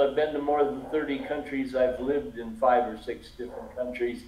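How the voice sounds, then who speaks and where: A man speaks with very wide swings in pitch. The room echo is audible, and there is noticeable background noise. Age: 70s. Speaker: online English tutor. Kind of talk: casual chat. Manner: halting, repeats words.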